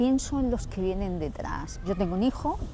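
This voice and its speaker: A woman speaks with ordinary pitch variation. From Andalusia, Huelva province. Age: 60s. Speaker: interviewee, local resident. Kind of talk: interview. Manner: halting, with repetitions.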